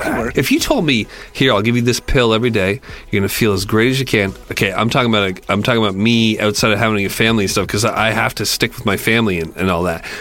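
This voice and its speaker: Background noise is noticeable. A man speaks over it very rapidly. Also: medium pitch for a man, fairly even intonation. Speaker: podcast co-host. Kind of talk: casual comedic commentary.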